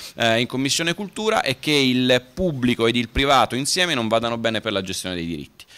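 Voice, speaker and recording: A man at a medium pitch with ordinary pitch variation and a fairly quick pace. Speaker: lawyer. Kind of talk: panel talk; conference talk. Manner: brisk, concise. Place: hall. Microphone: podium.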